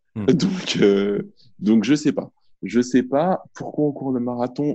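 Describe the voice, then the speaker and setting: The voice has a dark, mellow tone and ordinary pitch variation. It moves at a very slow pace over a quiet background. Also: man. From Paris suburbs, France. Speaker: radio journalist. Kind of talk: casual chat.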